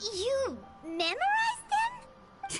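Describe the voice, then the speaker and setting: A woman's squeaky, put-on character voice at an extremely high pitch, lively in intonation, with music in the background. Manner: surprised.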